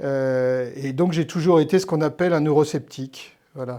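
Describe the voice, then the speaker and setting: Fairly even in intonation, a man speaks at a moderate pace with a fairly high pitch. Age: 60s. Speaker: historian and novelist. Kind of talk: interview. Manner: hesitant, many fillers and repetitions.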